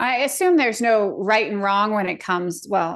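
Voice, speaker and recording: A woman's normal speaking voice, fairly high in pitch, at a fairly quick pace. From Colorado. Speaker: podcast host. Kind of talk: podcast interview.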